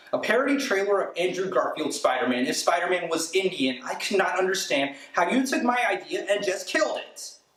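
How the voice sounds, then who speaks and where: A man speaks at a moderate pace in an energetic tone. Noticeable background noise can be heard. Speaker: spoken word poet. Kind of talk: spoken word poetry performance. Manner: energetic, comedic ranting delivery.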